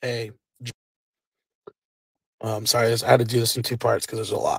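A man puts on a raspy character voice at a medium pitch. He delivers it at a fairly quick pace. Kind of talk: casual vlog chat. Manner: defensive, apologetic. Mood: serious, subdued.

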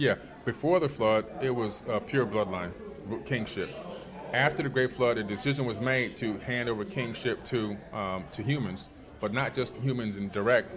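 A man with an American accent talks at a moderate pace with ordinary pitch variation over noticeable background noise. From Miami, Florida, US. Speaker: author and alternative history researcher; interview guest. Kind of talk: interview. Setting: at a conference.

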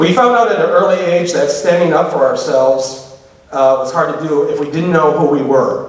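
With audible room echo, a man talks at a moderate pace in a passionate tone. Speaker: public speaker on LGBTQ issues. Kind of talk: live lecture to audience. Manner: humorous, passionate. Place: hall. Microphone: podium.

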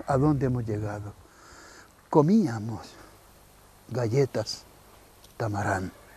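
A man talks at a very slow pace. The recording is dry, with no echo. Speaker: TV presenter. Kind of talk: casual lively commentary. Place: open country. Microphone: lapel.

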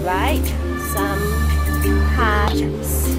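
Loud music plays in the background. A woman speaks at a very slow pace. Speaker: food vlogger. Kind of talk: casual vlog chat. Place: cafe. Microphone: phone near.

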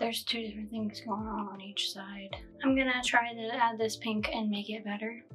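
Over faint background music, a woman with a fairly high pitch talks at a moderate pace in a monotone, flat intonation. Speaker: makeup vlogger. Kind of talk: casual makeup tutorial talk to camera. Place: home room.

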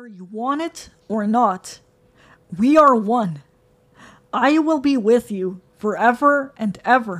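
A woman puts on a character voice, fairly high in pitch and hissing, at a fairly slow pace. Long, frequent pauses come through in a very clean recording with a silent background. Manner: cold, whispering, menacing.

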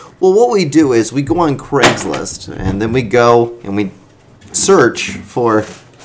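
Against noticeable background noise, a man speaks fairly slowly with lively intonation at a medium pitch. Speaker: podcast co-host. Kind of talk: casual comedic chat. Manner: laughs often, loose and rambling.

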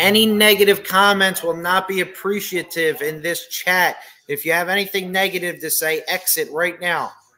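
In a raised, projected voice, a man talks at a moderate pace with monotone, flat intonation and hardly any pauses. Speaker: livestream host. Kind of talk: casual livestream chat, reading comments. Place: home room. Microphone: webcam.

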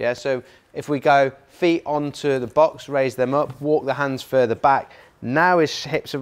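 This man's intonation stays fairly even as he talks. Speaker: fitness coach. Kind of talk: workshop instruction. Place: gym.

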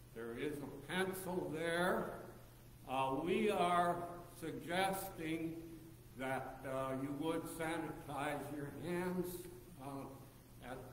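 A man at a very slow pace with ordinary pitch variation, over light background noise and audible room echo. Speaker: pastor. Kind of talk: service greeting and announcements. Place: church. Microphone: camera far.

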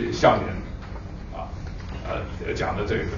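Amid light background noise and audible room echo, a man speaks at a very slow pace. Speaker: professor. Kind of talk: moderating a lecture. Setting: stage with audience. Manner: halting. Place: hall.

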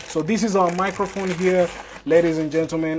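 Light background noise accompanies speech delivered at a fairly quick pace. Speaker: tech reviewer. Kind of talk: unboxing commentary. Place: home room.

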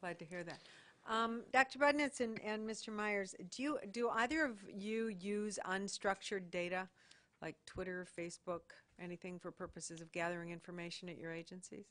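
Speaking at a moderate pace with an American accent, a woman shows ordinary pitch variation. Her loudness swings widely. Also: medium pitch for a woman. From Michigan. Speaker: government commissioner. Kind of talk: public hearing questioning.

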